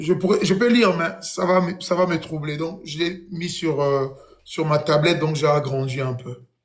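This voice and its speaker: Someone with a Congolese accent speaks at a fairly slow pace, pitch varying in an ordinary way. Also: man, fairly high pitch for a man. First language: Kikongo (speaking French). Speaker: YouTube speaker on Congolese history and religion. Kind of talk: lecture with reading aloud.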